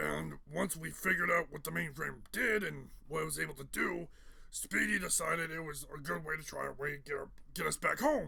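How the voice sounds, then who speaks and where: Putting on a raspy character voice, a man speaks at a fairly quick pace with a fairly high pitch. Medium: solo performance. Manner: casual, conversational.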